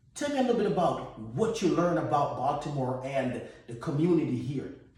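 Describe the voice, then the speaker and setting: A man with a Jamaican accent and a fairly high pitch talks at a fairly quick pace with lively intonation. Noticeable background noise and audible room echo are present. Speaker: podcast host. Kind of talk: casual chat.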